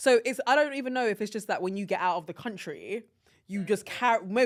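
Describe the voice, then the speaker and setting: A woman with an English accent and a fairly high pitch speaks at a very fast pace in an animated tone. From London, England. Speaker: podcast co-host. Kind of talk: casual chat.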